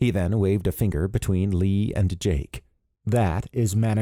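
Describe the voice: Someone does plain reading aloud in fairly even intonation. Nothing but quiet sits behind the voice.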